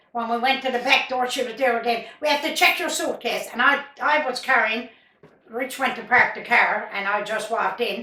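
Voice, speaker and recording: A woman's high voice in a Newfoundland accent, with ordinary pitch variation at a moderate pace. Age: 80s+. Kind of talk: interview answer.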